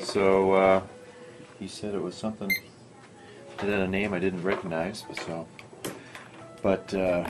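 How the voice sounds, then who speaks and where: A man with a very deep, low voice, flat monotone and fairly slow pace, music in the background. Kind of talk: casual vlog chat. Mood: relaxed, wry. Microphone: phone near.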